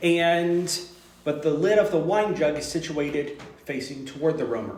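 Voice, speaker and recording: A man's fairly high pitch at a fairly slow pace, with audible room echo. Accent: Texas. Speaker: teacher leading a study group. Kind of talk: informal group lesson. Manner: halting, many fillers.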